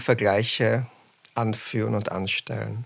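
A man speaks at a fairly slow pace, his voice showing vocal fry. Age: 40s. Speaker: children's book author. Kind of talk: interview.

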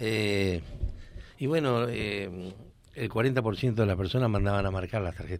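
A man speaks with ordinary pitch variation. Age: 70s. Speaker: businessman and former government official. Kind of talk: radio interview.

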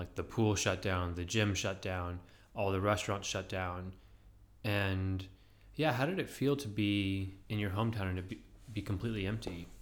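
Using an ordinary speaking voice, a man talks at a moderate pace, fairly low in pitch and with fairly even intonation. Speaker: podcast co-host. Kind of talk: casual chat.

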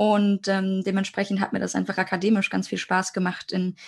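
Against a quiet background, a woman talks in a medium pitch, somewhat breathy, with monotone, flat intonation. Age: 20s. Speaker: international law student. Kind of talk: educational podcast conversation.

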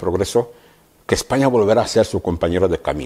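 The tone is dark and mellow, at a very fast pace. Intonation is lively. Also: man. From Equatorial Guinea. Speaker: opposition politician. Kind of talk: interview.

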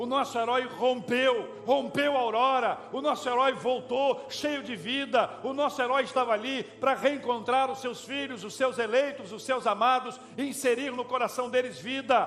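The speech moves at a fairly slow pace with fairly even intonation against noticeable background noise. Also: man. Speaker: preacher. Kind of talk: sermon. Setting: church. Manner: earnest, pastoral, persuasive; rising emphasis on repeated phrases, exhortative.

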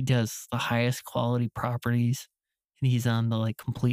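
Slow-ish and flat, a man talks at a fairly slow pace with a medium pitch and monotone intonation. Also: very clean recording, silent background. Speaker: videographer. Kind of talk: casual chat.

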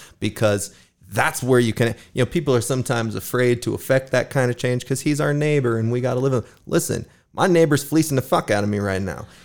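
Here is a man with an American accent and an unremarkable speaking voice, at medium pitch with ordinary pitch variation. He talks at a fairly quick pace on a very clean recording with a silent background. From Sparks, Nevada. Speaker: podcast host. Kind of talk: casual chat.

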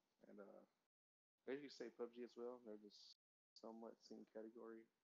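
A man with a normal speaking voice, medium in pitch, talks at a moderate pace with fairly even intonation. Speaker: guest. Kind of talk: casual chat.

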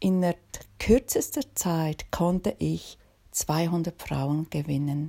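A dark, mellow, somewhat breathy tone at a very slow pace, with ordinary pitch variation. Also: woman. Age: 50s. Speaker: podcast host and author. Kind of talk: podcast monologue introduction.

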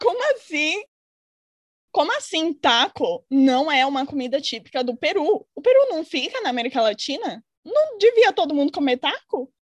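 A woman speaks at an extremely high pitch with very wide pitch swings. The sound is dry and close, with no echo. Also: moderate pace. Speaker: podcast co-host. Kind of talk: casual chat.

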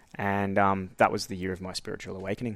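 A man speaks in an Australian accent at a very fast pace. The recording is very clean, with a silent background. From Queensland, Australia. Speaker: astrologer and spiritual coach. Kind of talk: casual interview conversation.

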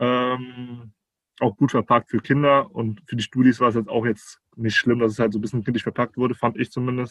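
A man at medium pitch, fairly quick and monotone, flat in intonation, with a dry, close sound and no echo. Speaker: teacher trainee, recent graduate. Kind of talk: casual interview conversation. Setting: video call. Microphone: muffled sound in places.

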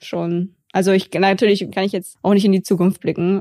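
At a moderate pace, a woman speaks at a medium pitch with a dark, mellow tone, the sound dry and close with no echo. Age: 20s. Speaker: musician and comedian. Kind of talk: casual chat.

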